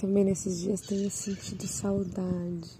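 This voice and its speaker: A dark, mellow tone, somewhat breathy, at a very slow pace. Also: woman. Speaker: solo podcaster sharing personal reflections. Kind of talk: reflective personal monologue. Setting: outdoors, seated among birdsong.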